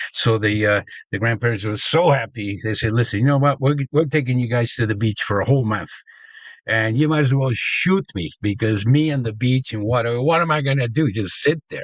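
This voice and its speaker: Somewhat breathy, the voice moves at a fairly quick pace with ordinary pitch variation. The background is quiet. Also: man, medium pitch for a man. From Argentina, Buenos Aires suburb. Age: 70s. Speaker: sports pioneer and promoter. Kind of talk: interview storytelling. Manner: hesitant, many fillers.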